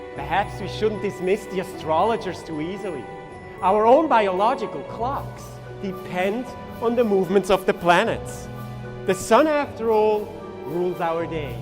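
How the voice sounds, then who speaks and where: Lively intonation carries speech at a moderate pace. Music plays in the background. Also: man, high pitch for a man. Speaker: stage illusionist. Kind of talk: live stage performance narration.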